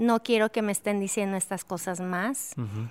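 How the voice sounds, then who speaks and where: A woman's voice with a dry, close sound and no echo on a very clean recording over a silent background. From Mexico, Durango. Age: 50s. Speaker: worship leader and author. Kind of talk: interview conversation.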